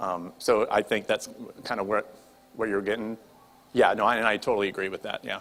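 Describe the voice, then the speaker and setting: A man speaks with fairly even intonation, with noticeable background noise behind him. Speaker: Bible study leader. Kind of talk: group discussion. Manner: fast.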